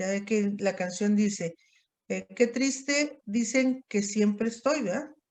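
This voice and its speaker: A woman speaks with ordinary pitch variation. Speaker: psychiatry teacher. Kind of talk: lecture. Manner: halting.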